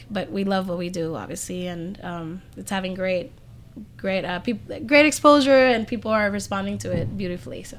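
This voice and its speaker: In audible room echo, a woman talks at a fairly quick pace with a medium pitch. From Puerto Rico. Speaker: musician. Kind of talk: casual chat. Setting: music venue.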